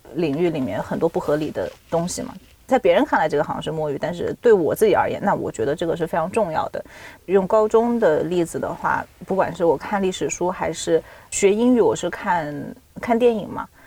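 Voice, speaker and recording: A woman at a fairly quick pace, with very wide pitch swings. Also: medium pitch for a woman. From China, Nanjing. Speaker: PhD student and freelance writer. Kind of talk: casual chat.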